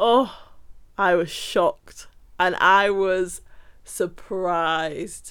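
A woman talks with an English accent. The recording is very clean, with a silent background. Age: 20s. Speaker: podcast host, nanny. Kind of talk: casual storytelling monologue.

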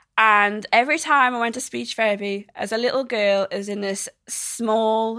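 A woman's fairly high voice with a South Welsh accent, at a fairly slow pace. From South Wales. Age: 20s. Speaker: social media creator. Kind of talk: interview. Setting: studio. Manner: halting.

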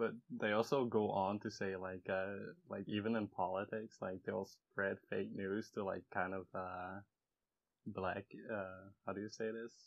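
In a fairly low pitch and monotone, flat intonation, a man speaks at a fairly slow pace. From Netherlands. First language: Dutch. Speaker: podcast guest, artist. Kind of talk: casual chat.

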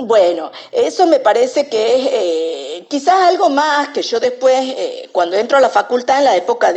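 Speaking at a fairly slow pace, a woman with a high pitch makes very wide pitch swings. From Argentina, San Miguel de Tucumán. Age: 50s. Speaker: literature scholar. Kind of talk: interview. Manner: halting, many fillers.

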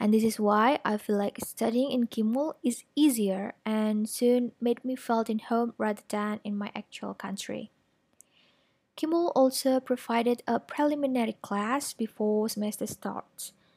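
A woman's fairly high voice with an Indonesian accent, fairly even intonation, and a dry, close sound with no echo. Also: fairly slow pace. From Indonesia, Malang, East Java. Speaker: finance graduate and strategic planner. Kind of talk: prepared talk to an audience. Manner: formal.

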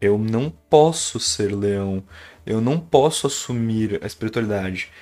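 The man's intonation is lively. He takes a fairly slow pace. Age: 20s. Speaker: podcast storyteller. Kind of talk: personal storytelling monologue. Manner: casual, hesitant with repetitions.

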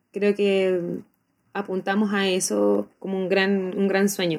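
A woman of medium pitch speaks at a very slow pace with monotone, flat intonation. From Chile. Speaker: popular educator, teacher. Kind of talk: interview. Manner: halting, with fillers and repetitions.

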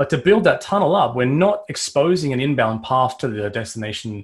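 Somewhat breathy, medium-pitched male voice with an Australian accent, lively intonation and a fairly quick pace. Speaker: cybersecurity vendor strategist. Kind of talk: technical interview.

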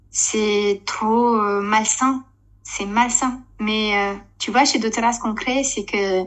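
A woman speaks at a fairly high pitch with a monotone, flat intonation. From Romania. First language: Romanian (speaking French). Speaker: network marketing leader, former TV presenter. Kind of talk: casual interview chat.

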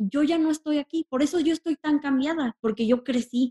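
A woman talks at a moderate pace with a high pitch. The sound is dry and close, with no echo. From Mexico City. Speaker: influencer. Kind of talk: casual interview chat.

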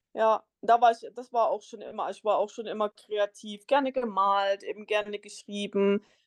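A woman with a normal speaking voice talks at a moderate pace and fairly high pitch. Her intonation stays fairly even, with hardly any pauses. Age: 30s. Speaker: solo traveller and travel blogger. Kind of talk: interview. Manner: many filler sounds.

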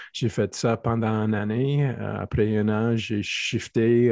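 Speaking very slowly, a man with an English accent has a fairly low pitch. His intonation is monotone and flat. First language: English (speaking French). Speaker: athletic therapist and strength coach. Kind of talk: interview. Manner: halting.

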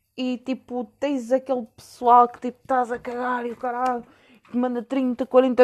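Her voice is high-pitched and animated. The woman keeps a moderate pace. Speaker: podcast host. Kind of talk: casual monologue.

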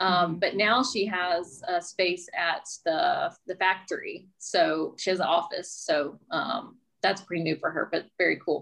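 At a fairly slow pace, the speaker uses a normal speaking voice with an American accent. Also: woman, medium pitch for a woman, fairly even intonation, hardly any pauses. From US South, Mobile, Alabama. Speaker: real estate agent and podcast host. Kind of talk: casual interview chat.

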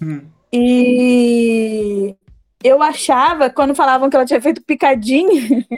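In a dry, close sound with no echo, a high-pitched woman speaks at a very slow pace with ordinary pitch variation. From Brazil, Queimados, Rio de Janeiro state. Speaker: fiction writer. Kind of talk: casual interview.

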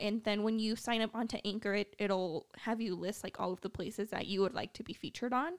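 This woman has an ordinary speaking voice, fairly high in pitch, with ordinary pitch variation at a moderate pace. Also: dry, close sound with no echo. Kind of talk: casual chat. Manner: soft-spoken.

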